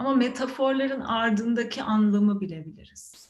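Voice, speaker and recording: Speaking at a very slow pace, a woman sounds calm and somewhat breathy. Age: 30s. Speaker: meditation teacher. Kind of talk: meditation talk. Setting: video call. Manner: calm, reflective with hesitations.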